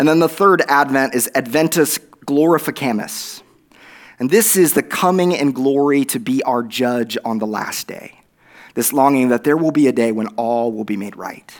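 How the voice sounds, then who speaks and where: The speaker has an Oklahoma accent. The pace is moderate. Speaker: guest preacher. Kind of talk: sermon. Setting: church.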